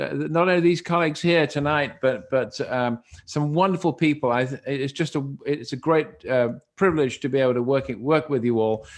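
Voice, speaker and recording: A man with a British accent, fairly high-pitched, at a moderate pace. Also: quiet background. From Britain. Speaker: dermatologic and laser surgeon. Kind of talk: panel discussion. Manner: halting.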